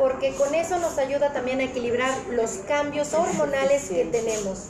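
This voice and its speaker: A woman with a high pitch and ordinary pitch variation talks at a moderate pace. Noticeable background noise and audible room echo are present. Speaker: women's circle facilitator. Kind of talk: casual chat. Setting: café. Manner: animated.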